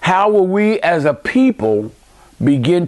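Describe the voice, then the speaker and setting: A man with an American accent, fairly slow pace and very wide pitch swings. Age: 60s. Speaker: video commentator. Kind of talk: monologue commentary. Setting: home man cave. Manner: impassioned.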